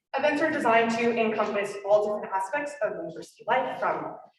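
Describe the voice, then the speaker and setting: A woman talks at a fairly quick pace in a fairly high pitch with lively intonation, and audible room echo surrounds her voice. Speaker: student orientation coordinator. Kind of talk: presentation.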